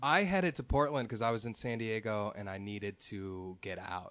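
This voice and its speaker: A plain, everyday voice from a man with an American accent, fairly low in pitch and fairly quick, over a quiet background. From US Midwest, Chicago North Shore. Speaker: musician and producer. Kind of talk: casual chat.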